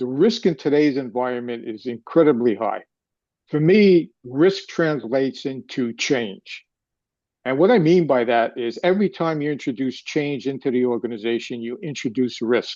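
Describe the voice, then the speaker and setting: A man with a New York accent, medium pitch, a dark, mellow tone and lively intonation at a moderate pace, over a quiet background. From New York City. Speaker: retired finance executive. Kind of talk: live interview.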